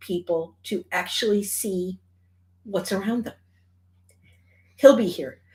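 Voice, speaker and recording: On a very clean recording with a silent background, a woman at medium pitch speaks in an animated tone with ordinary pitch variation. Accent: Michigan. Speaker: charity organizer. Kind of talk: event announcement.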